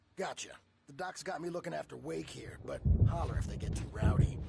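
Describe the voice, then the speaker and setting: Doing a put-on character voice, a man talks raspily at a fairly quick pace. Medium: video game. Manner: casual, blunt.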